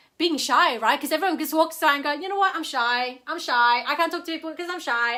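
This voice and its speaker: A woman speaks in a raised, projected voice with a bright, sharp tone and a non-native accent. Her pitch variation is ordinary. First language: not English. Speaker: network marketer. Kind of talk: livestream talk. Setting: live video stream.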